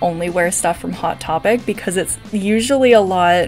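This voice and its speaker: Moderately paced speech from a woman over faint background music. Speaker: vlogger. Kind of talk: casual vlog chat. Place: home room. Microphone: phone near.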